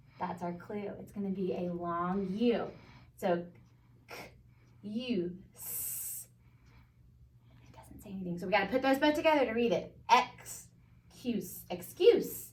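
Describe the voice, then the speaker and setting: A somewhat breathy woman with an American accent speaks at a fairly slow pace in a medium pitch, her intonation lively, her loudness swinging widely, with long, frequent pauses and audible room echo. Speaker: first grade teacher. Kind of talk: tutorial.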